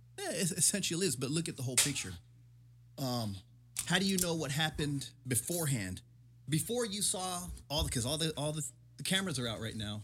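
The voice carries vocal fry and very wide pitch swings. Long, frequent pauses break up the speech. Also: man, fairly high pitch for a man, fairly quick pace. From San Diego, California. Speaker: police officer. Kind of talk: casual chat.

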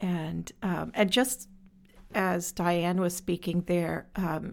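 A woman speaks in a normal speaking voice at a medium pitch with fairly even intonation. The recording is very clean with a silent background. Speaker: social enterprise director. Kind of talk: interview conversation. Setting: studio.

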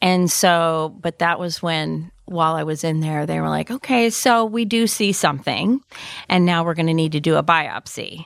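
On a very clean recording with a silent background, an unremarkable speaking voice keeps a moderate pace and ordinary pitch variation. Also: woman, fairly low pitch for a woman. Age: 50s. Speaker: executive secretary, cancer survivor. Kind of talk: interview, personal story.

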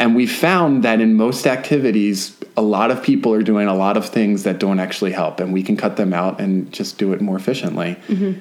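Fairly low in pitch, a man talks at a fairly quick pace with hardly any pauses and ordinary pitch variation in an unremarkable speaking voice. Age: 30s. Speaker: podcast co-host and homesteader. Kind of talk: casual chat.

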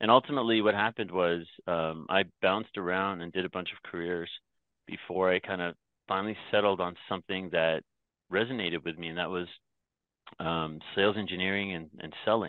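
A very deep, low male voice with a Canadian accent at a fairly quick pace, with fairly even intonation and big swings in loudness. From Canada (Toronto), born in Myanmar. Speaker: company founder and CEO. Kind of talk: interview.

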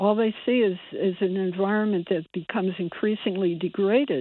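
A woman with an American accent speaks at a moderate pace in a normal speaking voice. Her pitch is medium, with ordinary variation. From US Northeast (Bridgeport, Connecticut). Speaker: environmental activist. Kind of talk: radio interview.

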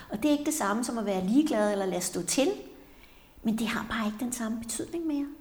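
A woman talks very fast at a fairly high pitch with lively intonation. Noticeable background noise and audible room echo surround her. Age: 60s. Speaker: psychotherapist, podcast co-host. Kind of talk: casual conversation. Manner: halting, many fillers.

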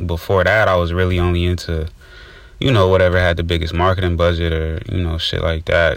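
Monotone, flat intonation marks this man's very deep, low voice. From Inglewood, California. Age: 20s. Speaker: filmmaker and podcast co-host. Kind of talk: casual chat.

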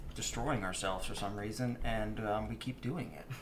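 A man at a medium pitch with ordinary pitch variation and a moderate pace, over noticeable background noise. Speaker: run club member. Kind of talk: casual interview chat.

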